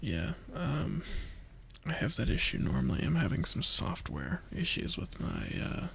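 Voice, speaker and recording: A man whispering at a fairly slow pace. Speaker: gamer. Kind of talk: casual chat.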